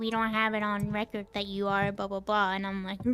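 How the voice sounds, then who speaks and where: Her voice sits fairly high in pitch. The woman talks at a fairly quick pace. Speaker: gaming streamer. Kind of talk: casual live stream chat. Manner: halting.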